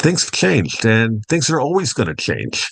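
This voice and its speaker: Against a quiet background, a man with an American accent talks fairly quickly in a plain, everyday voice pitched fairly low. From Long Island, New York (North Fork). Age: 60s. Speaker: duck farmer. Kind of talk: interview.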